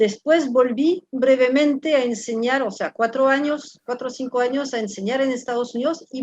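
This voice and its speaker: With a French accent, this voice moves at a moderate pace and shows ordinary pitch variation. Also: woman. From France. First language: French (speaking Spanish). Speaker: professor. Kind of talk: interview. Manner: halting.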